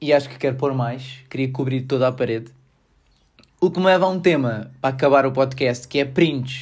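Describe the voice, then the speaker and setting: Big swings in loudness mark this man's somewhat breathy voice. He speaks with a European Portuguese accent in fairly even intonation. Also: medium pitch for a man, moderate pace. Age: 20s. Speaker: podcaster and engineering student. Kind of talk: casual solo podcast monologue. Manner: relaxed, laughing.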